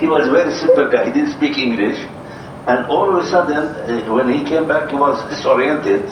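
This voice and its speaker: A man's fairly high pitch and lively intonation at a fairly quick pace, with audible room echo and noticeable background noise. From Jordan. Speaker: prospective property buyer on sales call. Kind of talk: casual phone conversation. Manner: halting, many fillers.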